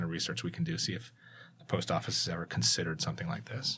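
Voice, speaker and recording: A man's very fast, vocal-fry delivery with an American accent and very wide pitch swings, on a very clean recording with a silent background. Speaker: school communications executive and tech entrepreneur. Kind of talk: casual interview.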